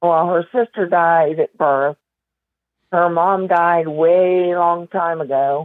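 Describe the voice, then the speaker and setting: The voice has a central Pennsylvania accent and fairly even intonation. It moves at a very slow pace with very even loudness. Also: woman, fairly low pitch for a woman. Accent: central Pennsylvania rural American. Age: 60s. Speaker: documentary subject telling her life story. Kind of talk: interview conversation.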